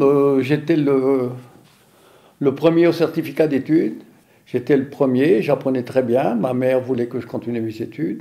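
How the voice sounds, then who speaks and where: The voice has a dark, mellow tone, a moderate pace and fairly even intonation. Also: man. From French Flanders, northern France. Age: 70s. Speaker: farmer. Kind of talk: interview testimony.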